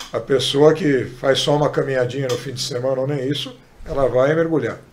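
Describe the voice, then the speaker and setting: A man at a fairly quick pace, flat and monotone, with audible room echo and noticeable background noise. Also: medium pitch for a man. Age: 60s. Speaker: sports medicine doctor. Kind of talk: podcast interview.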